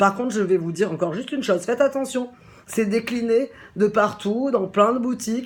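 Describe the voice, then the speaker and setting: Amid noticeable background noise, a woman speaks in an animated tone at a fairly quick pace with ordinary pitch variation. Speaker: shop owner presenting a product. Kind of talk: casual product presentation. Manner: fast.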